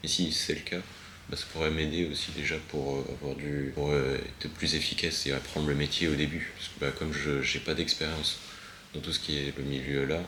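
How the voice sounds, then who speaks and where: Monotone and flat, a man's very deep, low voice comes with audible room echo and noticeable background noise. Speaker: vlogger. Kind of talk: casual vlog monologue. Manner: halting, many fillers; hesitant on camera.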